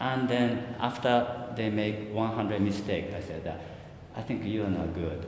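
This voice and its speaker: In a Japanese accent, a man with a fairly low pitch talks at a fairly slow pace with ordinary pitch variation, and audible room echo surrounds him. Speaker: photographer. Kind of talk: interview. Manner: halting.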